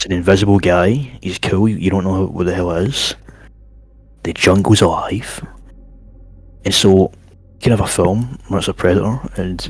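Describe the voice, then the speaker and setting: A man's very deep, low voice with ordinary pitch variation and long, frequent pauses, against noticeable background noise. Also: moderate pace. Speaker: stream co-guest. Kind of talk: casual chat. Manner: loud.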